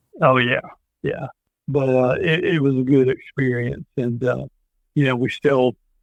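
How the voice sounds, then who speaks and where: A man with a Tennessee accent, medium pitch and a moderate pace. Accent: Tennessee Southern. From US South. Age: 60s. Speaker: former state legislator and army veteran. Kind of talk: interview conversation. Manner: hesitant, many fillers.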